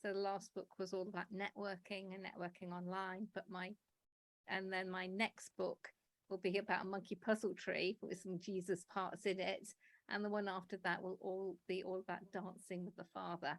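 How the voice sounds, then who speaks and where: In an English accent, the voice speaks at a moderate pace with monotone, flat intonation and a dry, close sound with no echo. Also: woman, medium pitch for a woman. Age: 60s. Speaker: publisher and writer. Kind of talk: interview.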